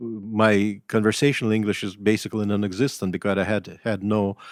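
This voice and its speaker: The speaker has a Russian accent and a fairly quick pace. The recording is very clean, with a silent background. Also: man. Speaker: writer and professor. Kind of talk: interview. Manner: halting.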